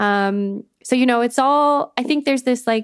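A woman with a Canadian accent and an ordinary speaking voice talks at a fairly slow pace with ordinary pitch variation. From Canada. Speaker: arts manager. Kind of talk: casual interview chat. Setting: video call.

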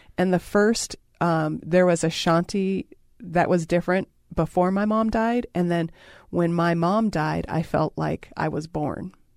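In an ordinary speaking voice, a woman talks at a fairly slow pace with a fairly low pitch and fairly even intonation, on a very clean recording with a silent background. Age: 40s. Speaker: radio show host. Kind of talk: intimate casual conversation. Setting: radio studio.

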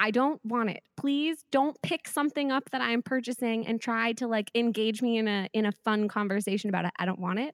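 Fairly quick and with hardly any pauses, a woman with an American accent speaks at a fairly high pitch with ordinary pitch variation. The sound is dry and close with no echo, on a very clean recording with a silent background. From Southern California, Riverside. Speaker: elementary school teacher and podcaster. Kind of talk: casual interview chat.

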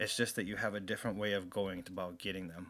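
A man speaks with music in the background. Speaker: co-host. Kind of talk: casual chat.

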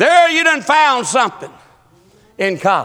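This man talks with a Southern US accent. His tone is animated. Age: 50s. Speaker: pastor. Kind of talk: sermon.

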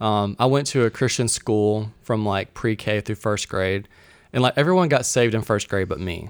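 With a Southern US accent, a man speaks at a moderate pace and a fairly low pitch, his pitch varying an ordinary amount. The recording is very clean, with a silent background. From Mississippi, US South. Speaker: guest, church resident. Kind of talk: casual interview chat.

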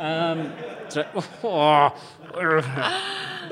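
A man speaks in a southern English accent. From Kent, southern England. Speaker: garden designer and broadcaster. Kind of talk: live podcast interview. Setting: stage with audience. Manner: halting.

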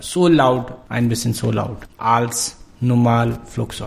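Against noticeable background noise, a man with a medium pitch talks at a very slow pace. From Pakistan. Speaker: refugee journalist. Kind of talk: interview. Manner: halting, broken German.

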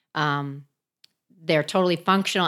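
A woman speaks at a moderate pace with vocal fry. The recording is very clean, with a silent background. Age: 50s. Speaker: CrossFit athlete. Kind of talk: casual chat. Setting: on location.

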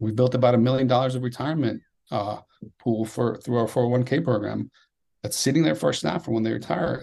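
A man with an American accent speaks very fast at medium pitch, with a dark, mellow tone, vocal fry and ordinary pitch variation. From Nicaragua, then Miami US. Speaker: coffee roaster founder and mentor. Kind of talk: interview conversation, podcast.

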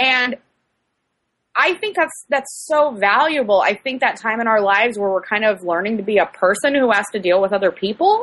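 This woman has a normal speaking voice with an American accent and a fairly high pitch. She talks at a moderate pace with lively intonation. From US Midwest, outside St. Louis. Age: 30s. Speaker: young adult novelist. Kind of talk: casual chat. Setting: video call.

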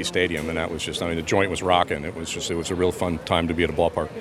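A man with an American accent talks at a very fast pace in a very deep, low voice. Noticeable background noise runs underneath. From Pennsylvania. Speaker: baseball fan, father. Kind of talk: casual interview. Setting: at the ballpark.

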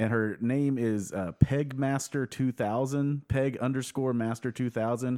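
Recorded dry and close with no echo, a man with a medium pitch and a dark, mellow tone talks at a fairly slow pace with ordinary pitch variation. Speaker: guest host. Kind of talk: casual comedic chat.

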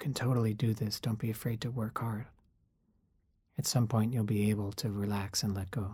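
Fairly low, dark and mellow, a man's somewhat breathy voice moves at a fairly quick pace with long, frequent pauses, in a very clean recording with a silent background. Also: fairly even intonation. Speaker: meditation guide. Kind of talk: guided meditation, calm and instructive. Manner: reflective, conversational.

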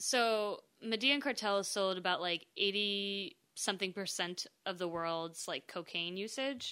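A bright, sharp tone with hardly any pauses on a very clean recording with a silent background. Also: woman, medium pitch for a woman, ordinary pitch variation, fairly slow pace. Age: 20s. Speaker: podcast guest. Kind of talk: casual chat.

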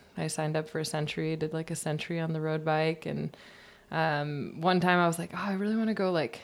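Fairly quick and fairly even in intonation, a woman with an American accent speaks in a very deep, low voice. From Michigan, US Midwest. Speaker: professional mountain biker. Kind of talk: casual chat. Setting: kitchen.

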